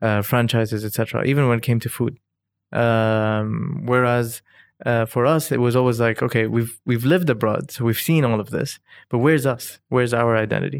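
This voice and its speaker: Speaking with an Arabic accent, a man at medium pitch talks at a fairly quick pace with fairly even intonation, in a very clean recording with a silent background. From Dubai, UAE. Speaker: cultural historian and entrepreneur. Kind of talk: casual interview conversation. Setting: host's home.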